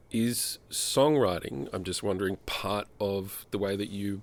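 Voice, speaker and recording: A plain, everyday voice from a man, fairly low in pitch and at a fairly slow pace, in a very clean recording with a silent background. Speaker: interviewer. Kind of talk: interview questions.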